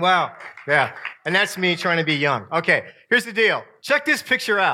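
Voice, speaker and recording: A man speaks with an American accent and very wide pitch swings. Noticeable background noise runs underneath. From upstate New York. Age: 50s. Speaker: camp speaker and professor. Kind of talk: sermon to camp audience. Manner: animated.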